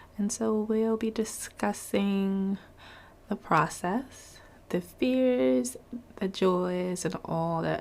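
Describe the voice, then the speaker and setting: Speaking very slowly, a woman uses a medium pitch. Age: 30s. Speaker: podcast host. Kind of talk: casual interview.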